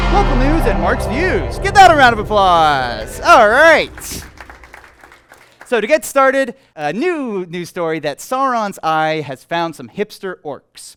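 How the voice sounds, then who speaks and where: A man's high-pitched voice at a fairly slow pace, upbeat and playful in tone, with very wide pitch swings and music in the background. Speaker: comedy show host. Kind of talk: live stand-up comedy monologue. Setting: live venue with audience. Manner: upbeat, playful.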